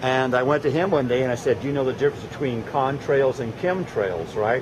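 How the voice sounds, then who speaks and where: A man at a medium pitch with ordinary pitch variation talks at a fairly quick pace while noticeable background noise sits underneath. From Arizona, Scottsdale. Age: 60s. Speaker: amateur video maker, Navy veteran. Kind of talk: casual chat, filming narration. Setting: outdoors.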